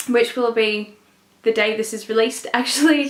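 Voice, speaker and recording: A woman keeps a moderate pace and ordinary pitch variation while noticeable background noise plays. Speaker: book reviewer. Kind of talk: casual vlog talk. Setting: at parents' house in the country.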